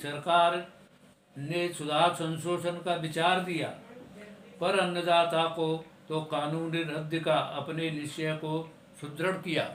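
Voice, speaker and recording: Over noticeable background noise, a man speaks in a high pitch with monotone, flat intonation. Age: 70s. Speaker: retired telecom engineer. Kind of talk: poetry reading.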